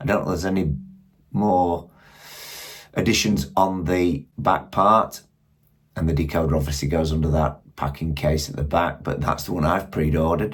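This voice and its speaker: A man with a very deep, low pitch speaks at a moderate pace, somewhat breathy, with ordinary pitch variation and long, frequent pauses. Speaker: model railway YouTuber. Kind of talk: product review. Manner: casual, conversational.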